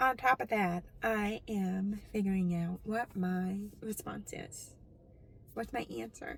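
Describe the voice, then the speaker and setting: Somewhat breathy and very slow, a woman speaks at medium pitch with ordinary pitch variation. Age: 40s. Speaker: deaf vlogger. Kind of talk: personal vlog monologue.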